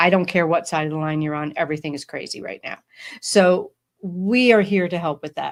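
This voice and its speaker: With a plain, everyday voice, a woman speaks fairly quickly at a fairly low pitch, her pitch varying in an ordinary way and her loudness swinging a lot, on a very clean recording with a silent background. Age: 50s. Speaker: podcast host. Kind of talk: casual chat.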